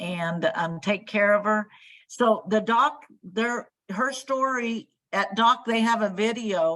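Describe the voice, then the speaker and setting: A woman speaks at a very slow pace with a fairly high pitch. Her tone is bright and sharp, and her pitch varies in an ordinary way. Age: 60s. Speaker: daughter of a wartime factory worker. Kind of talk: interview on video call. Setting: video call. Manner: halting, many fillers.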